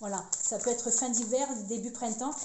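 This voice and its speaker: With audible room echo and noticeable background noise, a woman speaks at a fairly high pitch. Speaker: tarot card reader. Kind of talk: card reading monologue. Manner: fast; halting, many repetitions.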